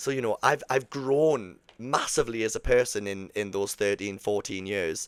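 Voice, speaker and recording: A man with a strong Geordie accent speaks at a moderate pace, with hardly any pauses. His pitch is fairly low with ordinary variation, and the recording is very clean with a silent background. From northern England, Newcastle. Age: 30s. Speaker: podcast host, cruise ship performer. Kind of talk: solo podcast monologue. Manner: casual, many fillers.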